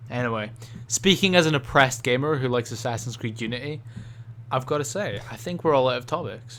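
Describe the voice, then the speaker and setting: Speaking very fast with a strong Scottish accent, a man keeps a medium pitch and ordinary pitch variation. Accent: thick Scottish. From Scotland. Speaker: gaming podcast co-host. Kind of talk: casual chat.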